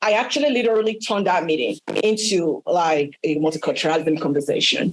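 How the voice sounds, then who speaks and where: Her pitch swings very widely as this woman speaks at a moderate pace. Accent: Nigerian. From Nigeria, Yoruba. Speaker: workshop panelist. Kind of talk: panel discussion.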